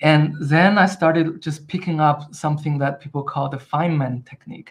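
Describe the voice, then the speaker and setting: A non-native accent at a moderate pace. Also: man. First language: not English. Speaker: software engineer and community member. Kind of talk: casual interview chat. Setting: live online event.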